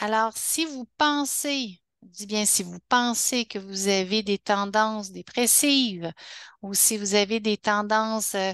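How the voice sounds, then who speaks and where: A woman speaks at a very slow pace with a fairly high pitch, ordinary pitch variation and big swings in loudness. The sound is dry and close with no echo, over a quiet background. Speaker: health educator. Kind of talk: webinar talk. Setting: online webinar. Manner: halting, many restarts.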